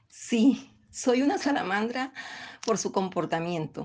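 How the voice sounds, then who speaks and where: Against a quiet background, a woman speaks very slowly with lively intonation. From Colombian Caribbean coast (Bolívar). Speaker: poet and teacher. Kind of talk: interview with poetry reading.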